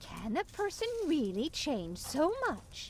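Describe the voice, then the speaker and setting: A high, put-on character voice swings very widely in pitch at a fairly slow pace over clear background noise. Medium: video game. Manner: worried, fretful.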